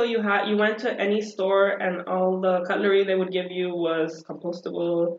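Woman with a Spanish accent, fairly low pitch, fairly even intonation and a moderate pace. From El Salvador. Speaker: podcast guest. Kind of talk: casual conversational.

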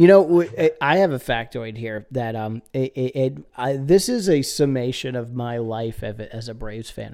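At a moderate pace, a man talks with vocal fry and a slightly mellow tone.

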